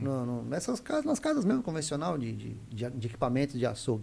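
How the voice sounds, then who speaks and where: A somewhat breathy man with a dark, mellow tone. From Mato Grosso do Sul, Brazil (Camapuã). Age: 40s. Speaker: meat business co-founder. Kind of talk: casual interview chat.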